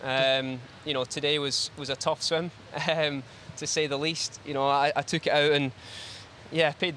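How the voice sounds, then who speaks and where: A man with a Glaswegian accent speaks in a fairly high pitch with monotone, flat intonation. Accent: Glaswegian Scottish. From Scotland, Glasgow. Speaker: swimmer. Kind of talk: post-event interview. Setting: studio. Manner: hesitant, many fillers.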